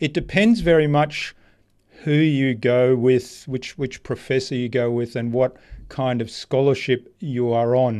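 With an Australian accent, a man speaks at a fairly slow pace, his medium pitch showing ordinary variation. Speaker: marketing strategist. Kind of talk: interview conversation.

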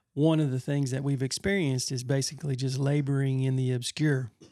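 A man with an unremarkable speaking voice, fairly high pitch and a moderate pace. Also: very clean recording, silent background. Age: 50s. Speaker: pastor and podcast co-host. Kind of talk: casual chat.

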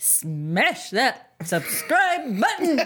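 A female-sounding put-on character voice shouts in a sing-song way at a high pitch. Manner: semi-yelling, sing-song.

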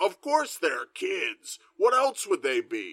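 A man does a put-on character voice at an extremely high pitch and a fairly slow pace. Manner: matter-of-fact, rhetorical.

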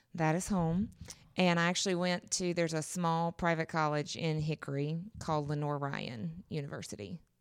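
This woman has a North Carolina accent and a fairly low pitch, talking at a moderate pace with ordinary pitch variation. The recording is very clean with a silent background. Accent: Southern US (North Carolina). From US South, western North Carolina. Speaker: middle school teacher. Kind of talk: casual interview.

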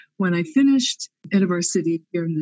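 In an American accent, a woman with an unremarkable speaking voice talks at a moderate pace and a fairly low pitch. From US, Pennsylvania. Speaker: theology professor. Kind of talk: interview.

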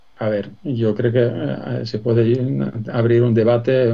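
Noticeable background noise behind a man speaking at medium pitch, his pitch varying in an ordinary way. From Sweden. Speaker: business executive. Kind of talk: interview. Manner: hesitant, many fillers.

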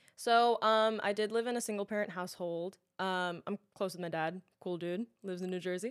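On a very clean recording with a silent background, the speaker uses a New York accent, a fairly quick pace and fairly even intonation. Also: woman, medium pitch for a woman. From Queens, New York. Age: 20s. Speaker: actress and influencer. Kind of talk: casual chat.

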